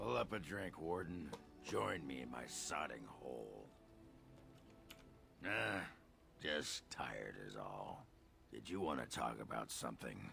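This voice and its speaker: A raspy, put-on character voice from a man moves at a fairly slow pace with long, frequent pauses over clear background noise. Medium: video game. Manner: gruff, crude.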